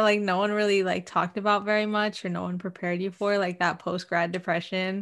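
On a very clean recording with a silent background, a woman with an unremarkable speaking voice talks at a medium pitch and a fairly quick pace with ordinary pitch variation. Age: 20s. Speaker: podcast co-host. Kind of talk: casual chat. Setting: livestream recording.

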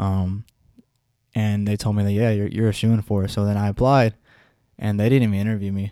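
The voice has a dark, mellow tone and a monotone, flat intonation. It moves at a fairly quick pace yet with long, frequent pauses. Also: man, fairly low pitch for a man. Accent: American. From US West. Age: 20s. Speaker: small business owner. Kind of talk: casual chat.

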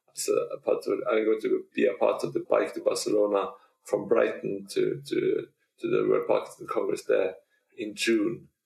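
With a Norwegian accent, a man talks at a moderate pace. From Norway. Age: 40s. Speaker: Parkinson's advocate and retired teacher. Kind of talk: casual interview. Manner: halting, with many repeats.

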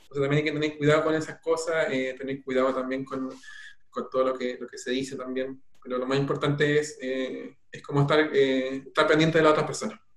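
Over noticeable background noise, a man with a fairly high pitch talks at a very fast pace in a monotone, flat intonation. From Chile, Peumo area (rural O'Higgins). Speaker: doctor in family medicine training. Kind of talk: interview on live stream.

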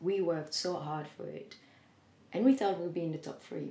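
Fairly low female speech, dark and mellow in tone. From Belgium. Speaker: singer and entrepreneur. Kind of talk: interview.

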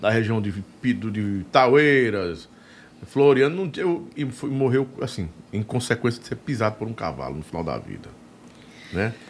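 Pausing long and often, a man at medium pitch speaks at a fairly slow pace with very wide pitch swings. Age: 50s. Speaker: podcast and radio host. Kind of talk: casual interview chat. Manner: animated.

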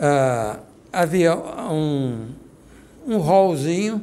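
The man's voice sits fairly high in pitch. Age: 80s+. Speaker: guest recounting a personal experience. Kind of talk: testimony. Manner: halting.

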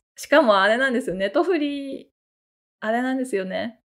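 A woman's high-pitched, animated voice with lively intonation at a moderate pace. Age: 40s. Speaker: solo podcast host and novelist. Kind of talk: casual solo talk.

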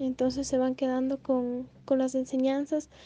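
This woman's voice is high-pitched with a dark, mellow tone. She speaks at a fairly slow pace. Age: 20s. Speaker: law student. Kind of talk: interview.

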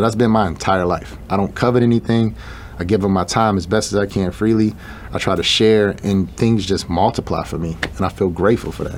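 With an American accent, a man speaks at a fairly quick pace and fairly low pitch with fairly even intonation, and background noise is noticeable. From Chicago, US Midwest. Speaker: shoe designer and entrepreneur. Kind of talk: interview.

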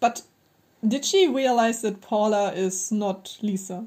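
A woman's fairly high, somewhat breathy voice in a German accent, dark and mellow in tone, with ordinary pitch variation, at a very slow pace. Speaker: podcast co-host. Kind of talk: casual chat.

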